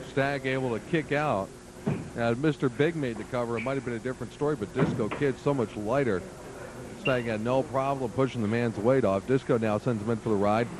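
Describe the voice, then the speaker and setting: A man talks fairly quickly at a medium pitch. Background noise is noticeable, and his pitch varies in an ordinary way. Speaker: wrestling commentator. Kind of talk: play-by-play wrestling commentary.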